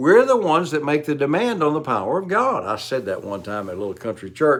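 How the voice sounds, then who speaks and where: A man with a Southern US accent, fairly high in pitch, very fast, with very wide pitch swings. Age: 70s. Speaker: preacher. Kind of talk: sermon.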